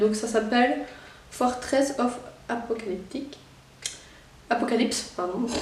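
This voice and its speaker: A woman's fairly high voice in a Belgian accent, with audible room echo and noticeable background noise. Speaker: YouTuber. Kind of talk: unboxing video.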